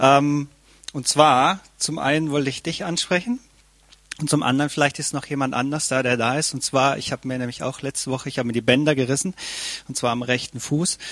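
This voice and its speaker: Using a plain, everyday voice, a man talks at a fairly quick pace with a fairly high pitch and fairly even intonation. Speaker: church member. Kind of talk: testimony.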